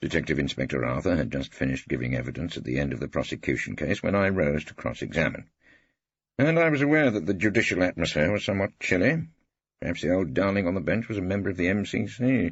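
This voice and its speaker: Very deep and low in pitch, a man speaks at a very fast pace with vocal fry and very wide pitch swings. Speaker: audiobook narrator. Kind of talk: audiobook reading. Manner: dry, wry.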